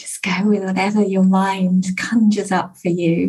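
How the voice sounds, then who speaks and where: A woman at a medium pitch speaks at a fairly slow pace with a warm, calm tone that is somewhat breathy. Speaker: success coach and podcast host. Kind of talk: guided meditation and prayer. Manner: calm, soothing, slow and gentle; warm, inviting, uplifting.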